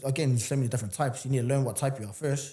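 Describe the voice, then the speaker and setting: Delivered at a very fast pace, the voice is somewhat breathy with a dark, mellow tone. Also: man. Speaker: entrepreneur and fitness coach. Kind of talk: casual interview chat. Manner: animated.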